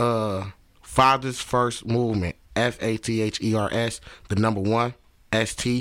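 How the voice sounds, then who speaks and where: Fairly even intonation marks this man's medium-pitched speech. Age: 20s. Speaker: rapper and fatherhood movement founder. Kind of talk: casual interview chat. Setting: studio. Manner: halting.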